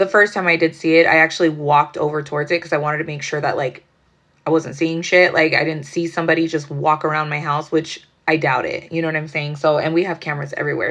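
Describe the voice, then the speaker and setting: A woman's very deep, low voice at a very fast pace, with monotone, flat intonation. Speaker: tarot reader. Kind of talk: casual tarot reading monologue. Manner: casual, rambling with fillers.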